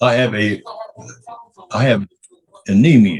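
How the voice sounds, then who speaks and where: A somewhat breathy man speaks at a fairly slow pace, with medium pitch and ordinary pitch variation. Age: 80s+. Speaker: court respondent. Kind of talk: court testimony.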